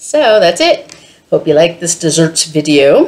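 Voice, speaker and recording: Fairly low-pitched woman with lively intonation. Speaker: cooking vlogger. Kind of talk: casual cooking tutorial. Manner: loud.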